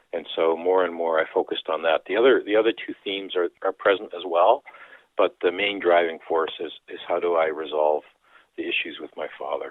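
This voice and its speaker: A man with a Canadian accent, at a fairly quick pace. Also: big swings in loudness. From Canada, Dutch immigrant community. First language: Dutch. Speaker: author and priest. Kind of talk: interview.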